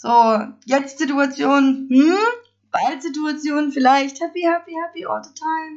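A very slow delivery in a Swabian accent. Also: woman, high pitch for a woman, ordinary pitch variation, big swings in loudness. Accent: Swabian, noticeable. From Stuttgart area, Swabia. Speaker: podcaster. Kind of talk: casual monologue. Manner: animated.

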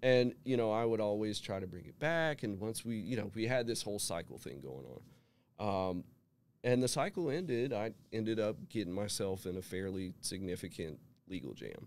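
With an American accent and a normal speaking voice, a man speaks at a moderate pace with fairly low pitch and lively intonation. The recording is very clean, its background silent. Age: 40s. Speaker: person in recovery. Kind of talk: testimony. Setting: studio.

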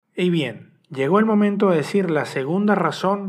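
With ordinary pitch variation, a man speaks. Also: quiet background. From Venezuela. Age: 30s. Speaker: podcast host and journalist. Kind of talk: solo personal podcast monologue. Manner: halting, repetitive.

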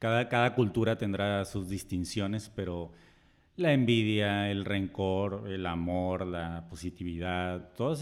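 A man talks in an ordinary speaking voice at a fairly slow pace. His pitch is fairly low, with ordinary variation. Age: 30s. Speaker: podcast co-host. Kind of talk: casual chat. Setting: recorded on camera.

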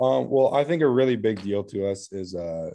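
Against a quiet background, a man with an American accent speaks at a fairly quick pace, his dark, mellow tone carried by lively intonation. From US West Coast, Oregon. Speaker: college golfer. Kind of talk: casual interview.

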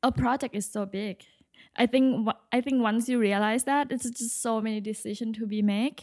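In a Thai accent, a woman speaks at a moderate pace. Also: fairly high pitch for a woman, very clean recording, silent background. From Thailand, Bangkok. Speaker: interior design architect. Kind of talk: interview. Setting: studio.

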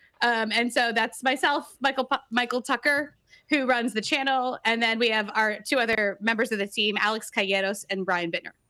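With a bright, sharp tone and fairly high pitch, a woman speaks at a moderate pace, using ordinary pitch variation, very even loudness and hardly any pauses. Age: 30s. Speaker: screenwriting video writer and podcaster. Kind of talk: casual chat.

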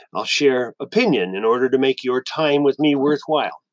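A man with an ordinary speaking voice talks at a moderate pace and a fairly high pitch. The sound is dry and close, with no echo. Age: 60s. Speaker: podcaster. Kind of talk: monologue. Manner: formal.

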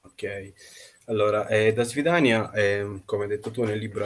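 Somewhat breathy, a man's voice moves at a moderate pace. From Russia, Nizhny Novgorod, then Italy. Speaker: novelist. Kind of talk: interview.

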